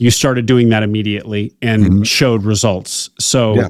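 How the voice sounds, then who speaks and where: In a dry, close recording with no echo, a man speaks at a medium pitch in a plain, everyday voice. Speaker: podcast host. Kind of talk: interview question.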